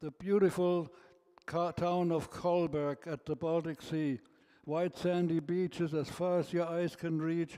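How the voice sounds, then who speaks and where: Speaking at a fairly slow pace, a man with a high pitch and a dark, mellow tone keeps his intonation fairly even. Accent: German. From Germany. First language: German. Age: 80s+. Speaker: birthday celebrant. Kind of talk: speech to guests. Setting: birthday party with audience.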